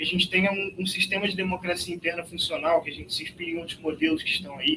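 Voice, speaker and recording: A man speaks at a very fast pace in a high-pitched voice. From Rio de Janeiro, Brazil. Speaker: party youth organiser. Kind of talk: political meeting speech.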